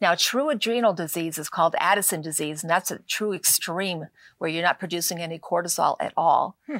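In a very clean recording with a silent background and a dry, close sound with no echo, a woman talks at a fairly quick pace and a fairly low pitch. Hers is an unremarkable speaking voice with ordinary pitch variation. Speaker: natural medicine author. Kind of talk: talk show interview.

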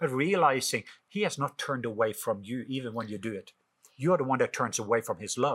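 A man with a Norwegian accent speaks at a very fast pace in a medium pitch, his intonation lively, on a very clean recording with a silent background. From Norway. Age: 50s. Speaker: author and minister.

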